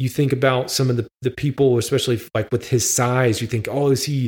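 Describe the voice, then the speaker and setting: A man talks in a medium-pitched voice with monotone, flat intonation. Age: 30s. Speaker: sports podcast host. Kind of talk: solo podcast commentary.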